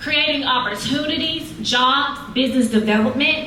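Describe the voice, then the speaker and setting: A woman with a high pitch speaks in a raised, projected voice at a fairly slow pace. Room echo is audible, and background noise is noticeable. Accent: Southern US. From Mississippi. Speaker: city council candidate. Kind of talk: campaign speech.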